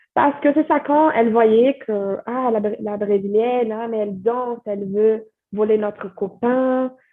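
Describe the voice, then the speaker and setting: A woman speaks in a Brazilian accent at a fairly slow pace. Her pitch is fairly high, with ordinary variation. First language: Portuguese (speaking French). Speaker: French teacher and content creator. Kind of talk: podcast interview. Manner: hesitant, many fillers.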